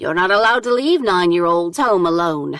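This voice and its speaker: At a fairly quick pace, a female-sounding put-on character voice speaks at a medium pitch for a woman. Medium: read story. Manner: blunt, deadpan.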